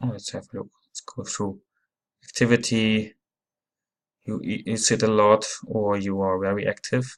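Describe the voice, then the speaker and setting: Spoken with a non-native accent at a moderate pace, the delivery has monotone, flat intonation, big swings in loudness, and long, frequent pauses. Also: man, fairly low pitch for a man. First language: not English. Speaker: app reviewer. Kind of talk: tutorial. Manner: halting.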